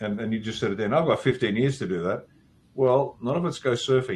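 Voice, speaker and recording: This man speaks at a medium pitch, somewhat breathy, with ordinary pitch variation. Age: 60s. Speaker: military veteran and consultant. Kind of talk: casual interview chat. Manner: halting, many repeated words.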